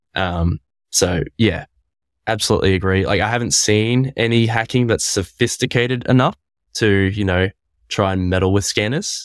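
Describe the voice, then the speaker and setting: An unremarkable speaking voice at a moderate pace with ordinary pitch variation and a dry, close sound with no echo. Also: man, fairly low pitch for a man. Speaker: WordPress panelist. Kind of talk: casual panel discussion. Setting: video call with poor connection.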